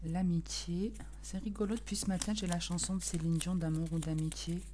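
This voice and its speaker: Soft-spoken and at a moderate pace, a woman speaks with very even loudness while audible echo fills the room. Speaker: tarot card reader. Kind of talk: tarot reading video. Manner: casual, hesitant.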